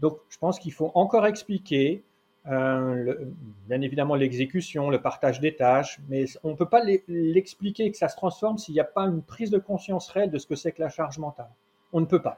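In a dark, mellow tone with a fairly high pitch, a man speaks at a moderate pace with ordinary pitch variation and big swings in loudness. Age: 50s. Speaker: parenting consultant and trainer. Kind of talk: interview conversation. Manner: halting.

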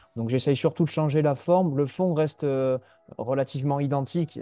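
Over music in the background, the speaker talks at a fairly quick pace with fairly even intonation. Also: man. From Landes, southwest France (Mont-de-Marsan). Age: 20s. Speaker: youth football coach. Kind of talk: interview. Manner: hesitant, word repetitions.

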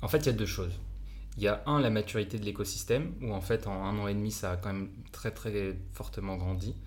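Using vocal fry, a man speaks at a fairly quick pace and a fairly low pitch. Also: ordinary pitch variation. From France. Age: 20s. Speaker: entrepreneur. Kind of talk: casual chat.

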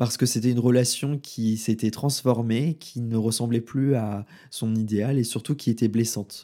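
A man's dark, mellow, monotone voice at medium pitch, flat in intonation, at a moderate pace on a very clean recording with a silent background. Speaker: podcast host and intuitive consultant. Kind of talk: solo podcast monologue. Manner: slight stutter, improving; casual with filler words.

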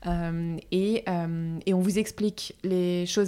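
A woman's dark, mellow tone at medium pitch, with monotone, flat intonation. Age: 30s. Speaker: furniture company founder. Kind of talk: interview.

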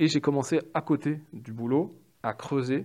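Dark and mellow in tone, a man speaks at a medium pitch with ordinary pitch variation. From Paris, France. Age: 30s. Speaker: UX/UI designer. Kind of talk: interview.

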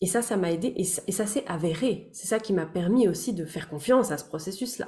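A woman's medium-pitched voice has a dark, mellow tone and is somewhat breathy, with lively intonation at a moderate pace. The recording is very clean, with a silent background. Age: 30s. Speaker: therapist and voice-over artist. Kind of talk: casual chat.

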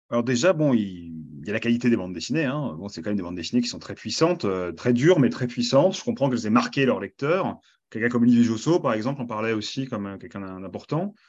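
Against a quiet background, a man with a medium pitch rushes along very fast with hardly any pauses, very wide pitch swings and big swings in loudness. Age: 30s. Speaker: comics critic and librarian. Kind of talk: interview. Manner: hesitant, many fillers.

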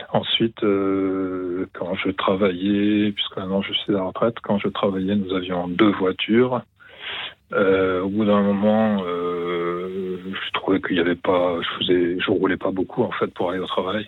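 A man talks in a very deep, low voice at a fairly slow pace. His intonation is flat and monotone. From Toulouse, France. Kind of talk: call-in testimony on ecology. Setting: phone call.

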